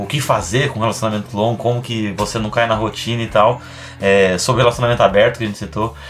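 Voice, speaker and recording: Noticeable background noise sits under this man's voice. He talks at a very fast pace with fairly even intonation. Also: medium pitch for a man. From Brazil, São Paulo. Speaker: stand-up comedian. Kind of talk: casual chat.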